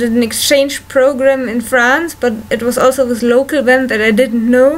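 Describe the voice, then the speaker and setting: Over noticeable background noise, a woman with a German accent talks in a high pitch with fairly even intonation. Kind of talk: casual talk to camera. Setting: home recording, low-quality equipment.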